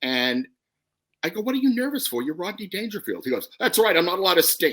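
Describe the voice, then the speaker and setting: Speaking very fast with a New York accent, the voice swings very widely in pitch. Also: man, high pitch for a man. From New York, Brooklyn. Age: 60s. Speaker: comedy writer. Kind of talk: casual chat.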